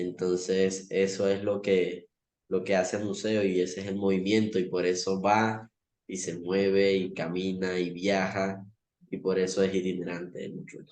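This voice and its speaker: The man's pitch is very deep and low. He speaks at a fairly slow pace in a flat monotone. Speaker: community museum worker. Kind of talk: video call panel talk. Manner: hesitant, many fillers.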